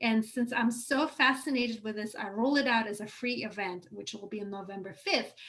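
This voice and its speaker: With a non-native accent, a woman speaks at a fairly high pitch with ordinary pitch variation. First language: not English. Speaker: online course teacher. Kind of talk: live workshop lecture. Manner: hesitant fillers, self-corrections.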